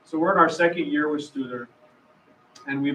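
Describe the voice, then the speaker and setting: Over noticeable noise in the background, a man talks very fast. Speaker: school district superintendent. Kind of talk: presentation at public meeting. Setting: public meeting with microphone. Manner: loud.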